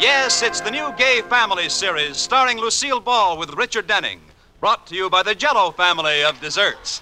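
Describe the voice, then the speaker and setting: A man with a high-pitched, raised, projected voice talks at a fairly quick pace over noticeable background noise. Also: lively intonation. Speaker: radio announcer. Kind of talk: old-time radio announcing, scripted. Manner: formal, crisp.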